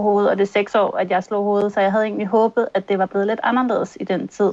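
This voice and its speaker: Her intonation is flat and monotone. The voice is a woman's. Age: 30s. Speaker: concussion patient. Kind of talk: testimony in interview. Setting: video call.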